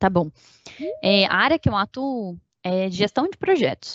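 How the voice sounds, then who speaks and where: At a fairly slow pace, a woman speaks in a normal speaking voice at a medium pitch. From Minas Gerais, Brazil (Uberlândia). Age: 20s. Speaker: engineering project control manager. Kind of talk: interview.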